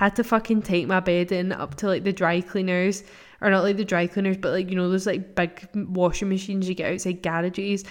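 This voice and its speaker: A woman with a Scottish accent, medium-pitched and flat in a monotone, at a fairly quick pace. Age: 20s. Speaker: podcast host. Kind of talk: casual chat. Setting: at home.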